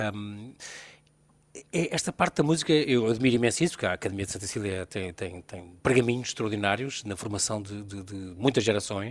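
A man talks at a fairly quick pace in an unremarkable speaking voice, with fairly low pitch, lively intonation and big swings in loudness. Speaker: radio host. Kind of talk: radio interview. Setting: live broadcast from a venue.

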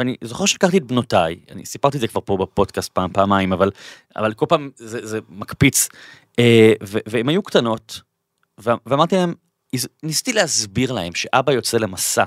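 A man's medium-pitched voice with lively intonation at a moderate pace, with long, frequent pauses, dry and close with no echo, on a very clean recording with a silent background. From Israel, Bat Yam. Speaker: podcast host. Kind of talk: interview; scripted intro. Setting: studio.

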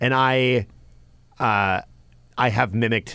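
A man with a Canadian accent and ordinary pitch variation. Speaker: podcast co-host. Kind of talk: casual chat.

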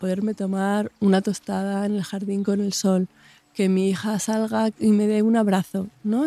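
A woman's dark, mellow tone comes at a moderate pace in monotone, flat intonation, with a dry, close sound and no echo. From Extremadura, Spain (Mérida). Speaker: nutritionist. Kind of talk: casual chat.

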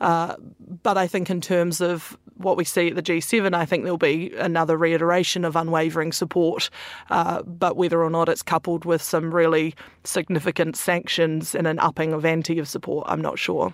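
A woman talks at a moderate pace in a fairly low pitch, her intonation monotone and flat. The recording is very clean with a silent background. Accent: New Zealand. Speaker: foreign correspondent. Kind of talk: panel discussion.

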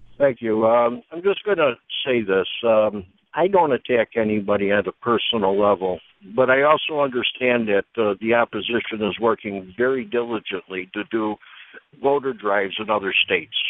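A man talks in an ordinary speaking voice at medium pitch. His pitch variation is ordinary and his pace moderate. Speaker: caller. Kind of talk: phone-in call. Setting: phone call. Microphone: cell phone.

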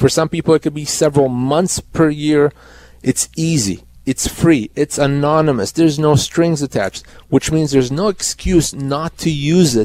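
A man talks at a moderate pace in an ordinary speaking voice, fairly high in pitch with ordinary pitch variation. The sound is dry and close, with no echo. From Canada. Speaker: employment lawyer. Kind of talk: legal advice on call-in radio. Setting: radio studio.

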